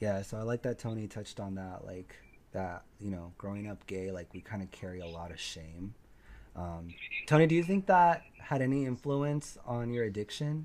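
The delivery has lively intonation at a moderate pace. Its loudness swings widely. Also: man, fairly low pitch for a man. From Mexican-American. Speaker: podcast host. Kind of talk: casual chat. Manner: animated.

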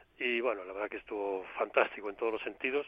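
This man speaks at a very fast pace. His intonation stays fairly even. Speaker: former football coach. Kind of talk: interview.

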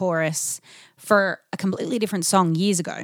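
Very clean with a silent background, this recording features a woman with an Australian accent. Her pitch is medium and her intonation fairly even. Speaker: singer-songwriter in a band. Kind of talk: casual interview chat. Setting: in-person conversation.

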